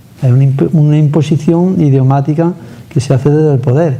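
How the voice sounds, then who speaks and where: Fairly quick speech with ordinary pitch variation and very even loudness, under noticeable background noise. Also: man. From Andalusia. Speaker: TV interviewer. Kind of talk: interview.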